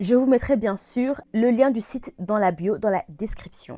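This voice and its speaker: A woman talks at a fairly slow pace in a plain, everyday voice with ordinary pitch variation. The sound is dry and close, with no echo. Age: 20s. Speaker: e-business consultant and vlogger. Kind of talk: casual vlog tutorial.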